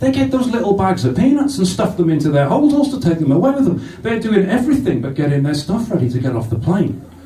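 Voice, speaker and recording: In a room with audible echo, a man with a high pitch races along at a very fast pace in an animated tone, with very wide pitch swings and hardly any pauses. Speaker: stand-up comedian. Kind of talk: stand-up comedy. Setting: stage with live audience. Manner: animated, sweary, crowd-teasing.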